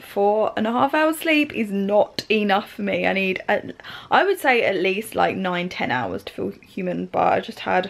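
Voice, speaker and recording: A woman's lively intonation at a fairly slow pace. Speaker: beauty vlogger. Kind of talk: casual vlog chat. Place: home room. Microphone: phone near.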